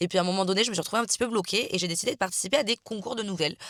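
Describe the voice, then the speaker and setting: Dry and close with no echo, the recording captures a woman speaking. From France, Marseille. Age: 20s. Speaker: author and vlogger. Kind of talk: casual vlog chat. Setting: in a car. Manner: casual, hesitant with many fillers.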